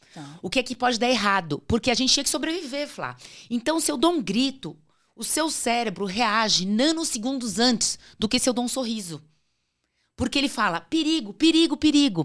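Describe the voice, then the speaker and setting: A woman speaks at a moderate pace in a high voice with very wide pitch swings, recorded very cleanly against a silent background. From Brazil, São Paulo state interior and Natal. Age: 50s. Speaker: career speaker, former magazine colleague. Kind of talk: casual interview chat.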